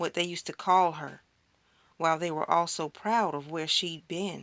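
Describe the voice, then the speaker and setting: In an unremarkable speaking voice, a woman talks at a moderate pace and a fairly low pitch. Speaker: spoken word poet. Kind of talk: spoken word poetry performance.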